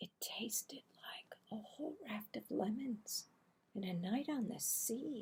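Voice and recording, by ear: The tone is slightly mellow with a husky, rough edge. Delivery is slow, with lively intonation. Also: woman, fairly high pitch for a woman.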